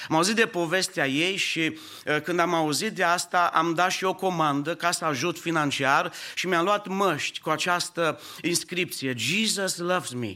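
A man talks at a fairly slow pace. His voice is high, with ordinary pitch variation. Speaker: pastor. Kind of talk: sermon. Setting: church.

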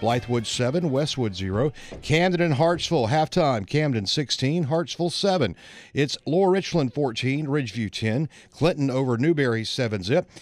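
On a very clean recording with a silent background, a man speaks in an unremarkable speaking voice at a fairly high pitch. His pace is fairly slow and his intonation lively. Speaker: sports news anchor. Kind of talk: news reading of halftime scores. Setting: studio. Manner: brisk, formal.

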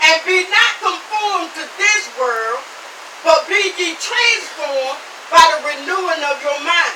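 A woman's raised, projected voice, extremely high in pitch, with lively intonation at a fairly slow pace, over noticeable background noise. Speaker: preacher. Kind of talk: sermon, preached live to a tent congregation. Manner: fervent, rhythmic and exclamatory, with repeated 'Amen' and thinking-aloud fillers.

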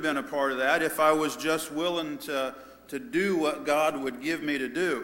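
A man with an ordinary speaking voice, fairly high-pitched, with ordinary pitch variation and a fairly slow pace. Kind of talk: sermon. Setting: church.

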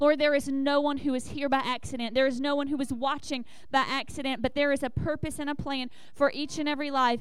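A woman's high-pitched voice with a Southern US accent, very fast and monotone with flat intonation. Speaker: church leader. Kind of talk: church announcements. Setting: church.

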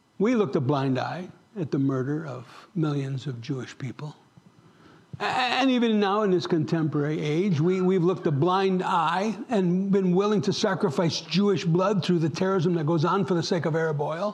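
A man talks at a moderate pace, his pitch high with ordinary variation. Audible room echo surrounds the voice. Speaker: pastor. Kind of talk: sermon. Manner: animated.

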